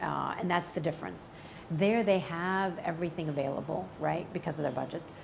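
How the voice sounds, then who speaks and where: A woman with an American accent, fairly low in pitch with vocal fry, ordinary pitch variation and a moderate pace. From US Midwest (St. Louis, Missouri). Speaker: actress. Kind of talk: interview. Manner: casual, many fillers.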